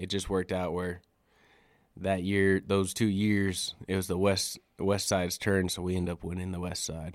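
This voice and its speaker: A man with a very deep, low voice and monotone, flat intonation, at a moderate pace, in a very clean recording with a silent background. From Wyoming, Wind River Reservation. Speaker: college basketball head coach. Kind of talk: interview. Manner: casual, filler-heavy.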